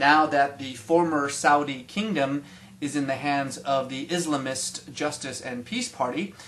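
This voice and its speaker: Over noticeable background noise, a man with a fairly high-pitched voice talks at a moderate pace. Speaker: commentator on the Middle East. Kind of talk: mock TV news report.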